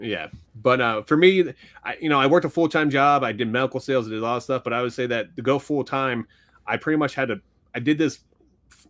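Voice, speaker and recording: Big swings in loudness mark a man's very fast speech. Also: medium pitch for a man, ordinary pitch variation. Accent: Philadelphia. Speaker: sports card podcast co-host and card flipper. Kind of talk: casual chat.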